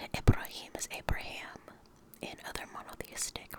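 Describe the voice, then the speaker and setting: Whispering at a moderate pace in an American accent, a man is heard over noticeable background noise. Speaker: ASMR creator. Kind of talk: casual talk to camera, ASMR reading intro. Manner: soft-spoken, whispered.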